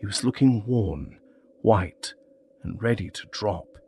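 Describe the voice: Someone reads aloud in a plain manner.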